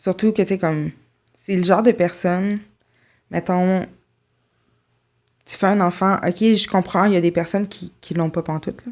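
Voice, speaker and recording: Over a silent background in a very clean recording, a woman speaks at medium pitch and a moderate pace. Her intonation is fairly even, and she leaves long, frequent pauses. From Quebec, Saint-Jérôme. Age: 20s. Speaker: podcast guest. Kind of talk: interview testimony.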